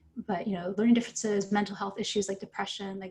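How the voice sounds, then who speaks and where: The voice carries vocal fry and speaks in a Midwestern accent. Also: woman. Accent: American Midwest. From Ohio. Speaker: novelist. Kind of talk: panel talk.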